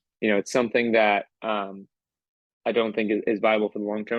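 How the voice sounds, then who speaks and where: Here a man with a fairly low pitch talks at a fairly quick pace. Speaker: crypto community manager. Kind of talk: interview. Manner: hesitant, many fillers.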